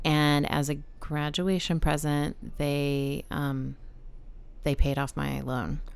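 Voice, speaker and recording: A woman with an American accent speaks very slowly in a very deep, low voice with monotone, flat intonation. Audible room echo surrounds her. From Texas, San Antonio. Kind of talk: casual interview conversation. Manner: halting, many fillers and repetitions.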